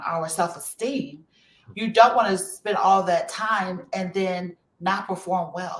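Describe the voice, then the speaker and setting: In an American accent, a woman speaks fairly slowly at a medium pitch with ordinary pitch variation. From Chicago. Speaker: HR practitioner and career expert. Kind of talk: panel discussion in a virtual event. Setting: virtual event. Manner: conversational with many fillers.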